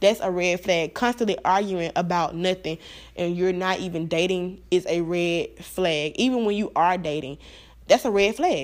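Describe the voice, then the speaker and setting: On a very clean recording with a silent background, a woman of medium pitch talks at a moderate pace in an animated tone, with ordinary pitch variation. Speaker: podcast host. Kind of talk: casual monologue.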